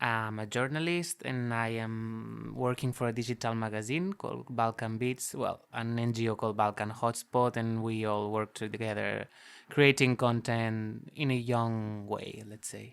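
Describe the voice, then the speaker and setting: A man's plain, everyday voice at medium pitch, with fairly even intonation, a fairly slow pace and hardly any pauses. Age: 20s. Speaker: journalist. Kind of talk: casual discussion.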